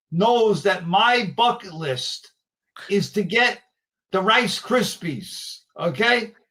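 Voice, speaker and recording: With a New York accent, a man speaks in a bright, sharp tone at a high pitch. His intonation is lively while his pace is very slow. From New York area. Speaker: collector and show host. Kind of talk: casual interview chat.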